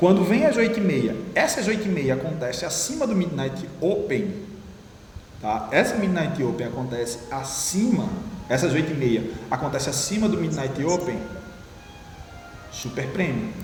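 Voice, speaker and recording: A man with a Brazilian accent, high-pitched, with very wide pitch swings, a moderate pace and long, frequent pauses, amid noticeable background noise and audible room echo. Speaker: trading teacher. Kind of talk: one-on-one trading lesson.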